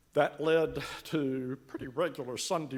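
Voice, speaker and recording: Speaking with a Carolinas accent, a man keeps his intonation fairly even. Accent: Southern US (Carolinas). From US South, Western Carolinas. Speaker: church member. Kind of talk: testimony. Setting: church.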